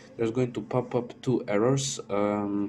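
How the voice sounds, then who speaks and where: A man with a non-native accent, medium-pitched, fairly even in intonation, at a moderate pace. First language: not English. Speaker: modding tutorial creator. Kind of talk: tutorial. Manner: halting, many fillers.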